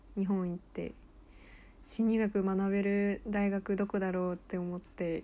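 Her tone dark and mellow, a woman at medium pitch speaks fairly slowly with flat, monotone intonation. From United States. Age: 20s. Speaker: podcast co-host, university student. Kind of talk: casual chat.

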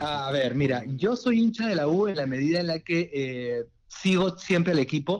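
Speaking at a moderate pace, a man with a plain, everyday voice and fairly high pitch uses lively intonation. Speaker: football fan guest. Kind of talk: casual chat.

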